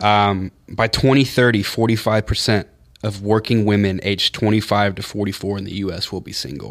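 This is an unremarkable speaking voice at a fairly quick pace. Its loudness swings widely while the intonation stays fairly even. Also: man, fairly low pitch for a man. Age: 20s. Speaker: show producer. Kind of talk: casual chat.

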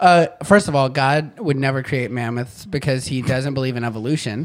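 This is a man with an unremarkable speaking voice, medium in pitch with ordinary pitch variation. He speaks at a moderate pace on a very clean recording with a silent background. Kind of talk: casual chat.

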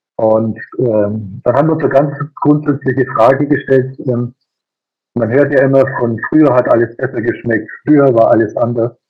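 A man talks at a moderate pace in a normal speaking voice. His pitch is medium and his intonation fairly even. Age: 50s. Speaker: master baker and business owner. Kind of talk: interview. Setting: video call.

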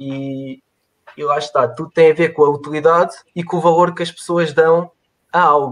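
A man speaks in a European Portuguese accent at a moderate pace. His voice is fairly high, with monotone, flat intonation. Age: 20s. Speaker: mechanical engineer. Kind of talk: interview on a live stream. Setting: online live stream. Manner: halting, many repetitions.

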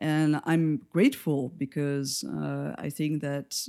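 Someone speaks very slowly in a French accent. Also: woman. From France. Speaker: lighting designer and educator. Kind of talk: interview.

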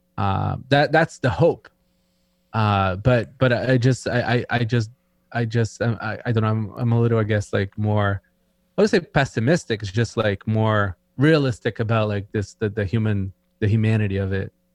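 A man's fairly low voice with a Brazilian accent and ordinary pitch variation, dry and close with no echo, over a quiet background. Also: moderate pace. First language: Portuguese. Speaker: tech entrepreneur guest. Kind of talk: casual chat.

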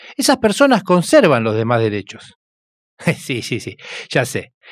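Speaking at a fairly slow pace, a man with a Rioplatense accent comes through in a very clean recording over a silent background. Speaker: radio host. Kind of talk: radio documentary narration.

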